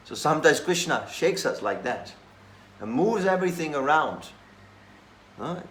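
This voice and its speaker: A high-pitched man at a moderate pace, with ordinary pitch variation, big swings in loudness, long and frequent pauses, and audible room echo. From Slovakia. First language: Slovak. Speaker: monk. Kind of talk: scripture class.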